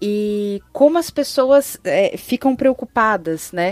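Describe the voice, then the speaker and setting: The sound is dry and close, with no echo. A woman with a fairly high voice speaks very slowly, her intonation lively. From São Paulo city, Brazil. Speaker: communications and fashion professional. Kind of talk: casual chat.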